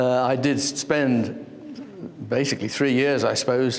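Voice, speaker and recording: A man talks at a moderate pace with monotone, flat intonation. Room echo is audible, along with noticeable background noise. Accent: English. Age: 70s. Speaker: artist. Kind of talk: interview.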